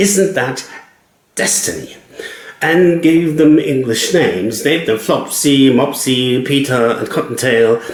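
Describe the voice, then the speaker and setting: In a German accent, a man speaks fairly slowly at a fairly high pitch with lively intonation. Room echo is audible. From Germany. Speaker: cab driver and writer. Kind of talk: personal storytelling monologue.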